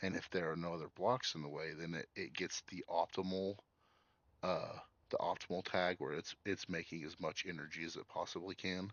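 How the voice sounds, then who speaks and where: A man speaks at a moderate pace in a very deep, low voice, his intonation fairly even. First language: sign language. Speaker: gaming streamer. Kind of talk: live gameplay stream.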